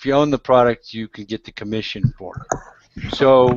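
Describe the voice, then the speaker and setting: A man talks in a normal speaking voice at a medium pitch. His pace is fairly slow and his intonation fairly even. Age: 60s. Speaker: internet marketing blogger. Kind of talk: casual chat.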